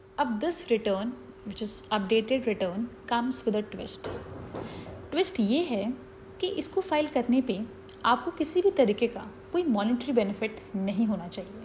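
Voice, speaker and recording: Against noticeable background noise, a woman with a fairly high pitch talks with very wide pitch swings and long, frequent pauses. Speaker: chartered accountant. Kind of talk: educational explainer on tax law.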